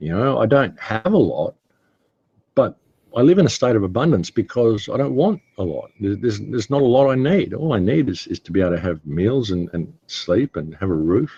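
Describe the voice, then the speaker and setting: A man with an Australian accent talks at a fairly quick pace, his dark, mellow tone marked by vocal fry and very wide pitch swings. The sound is dry and close, with no echo. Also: medium pitch for a man. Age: 60s. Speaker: interview guest, independent researcher. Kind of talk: casual interview talk. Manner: halting, repeats words.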